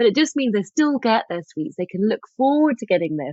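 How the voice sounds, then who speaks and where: A woman with a strong English accent speaks at a fairly quick pace with lively intonation. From England. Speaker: author and lifestyle expert. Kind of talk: podcast interview.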